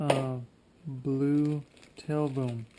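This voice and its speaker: Noticeable background noise behind a man's fairly high-pitched voice. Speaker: RC helicopter hobbyist YouTuber. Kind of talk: unboxing tutorial. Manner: casual, hesitant with fillers.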